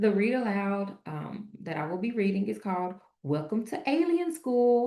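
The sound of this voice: Reading in an unforced voice.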